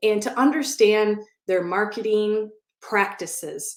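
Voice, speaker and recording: In a Midwestern accent, a woman speaks at a fairly slow pace with an animated tone. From US Midwest, Wisconsin. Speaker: SBA loan consultant. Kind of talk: live online event talk. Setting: online audio room.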